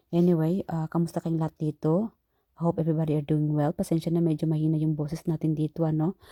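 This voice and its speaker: Soft-spoken and very deep in pitch, a woman talks at a very fast pace in a dark, mellow tone, with monotone, flat intonation. Her loudness stays very even in a dry, close sound with no echo. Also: very clean recording, silent background. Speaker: tarot reader. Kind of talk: tarot reading. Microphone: not using her microphone, quiet.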